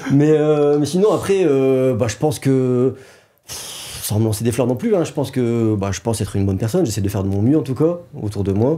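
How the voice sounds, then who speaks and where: A man's dark, mellow tone, fairly quick pace and lively intonation. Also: medium pitch for a man. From northern France (Nord, around Maubeuge). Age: 30s. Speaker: wedding videographer and business owner, former boxing champion. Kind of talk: casual interview.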